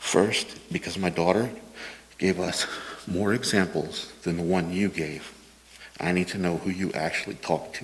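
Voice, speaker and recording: A man's very deep, low voice at a moderate pace, with fairly even intonation and long, frequent pauses. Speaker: parent speaking at public comment. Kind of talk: public comment testimony. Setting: school board meeting.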